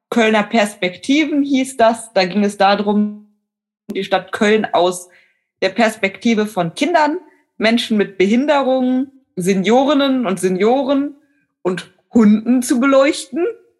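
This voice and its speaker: Over music in the background, a woman with a fairly high pitch speaks at a very slow pace with lively intonation. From western Germany, Neuss (North Rhine-Westphalia). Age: 20s. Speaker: online editor graduate, blind. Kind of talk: interview.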